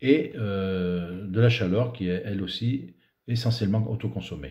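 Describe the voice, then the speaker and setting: Fairly slow speech comes from a man whose tone is dark and mellow. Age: 60s. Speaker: dairy farmer. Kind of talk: prepared presentation. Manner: hesitant, with fillers.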